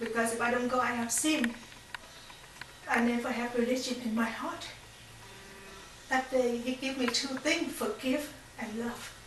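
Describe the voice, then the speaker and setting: Audible room echo and noticeable background noise around a voice with a Vietnamese accent. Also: woman. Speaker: faith testimony speaker. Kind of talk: testimony. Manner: halting.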